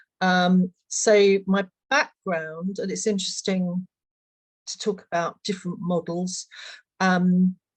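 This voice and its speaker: A woman with a British accent speaks very slowly in a monotone, flat intonation at a medium pitch. Her voice is somewhat breathy, and the sound is dry and close with no echo. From Britain. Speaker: equine assisted learning practitioner. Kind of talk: panel discussion.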